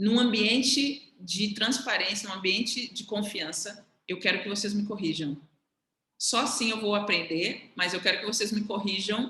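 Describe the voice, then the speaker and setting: A woman speaks in an ordinary speaking voice at a fairly slow pace. Her pitch sits in the medium range, with ordinary pitch variation. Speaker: economist sharing career path with students. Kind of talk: casual mentoring conversation on video call.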